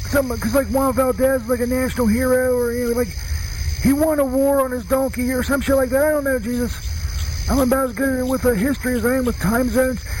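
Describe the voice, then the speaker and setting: Noticeable background noise sits behind a man whose extremely high-pitched voice moves at a moderate pace. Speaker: voicemail caller character. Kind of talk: comedic voicemail message, rambling and profane. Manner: rambling, hesitant, stoned-sounding, filler-heavy.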